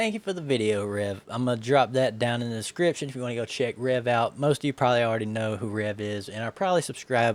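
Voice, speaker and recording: A man with a Southern US accent talks very fast, with hardly any pauses. His pitch is medium, with ordinary variation. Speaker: vtuber reacting to videos. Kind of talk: casual commentary.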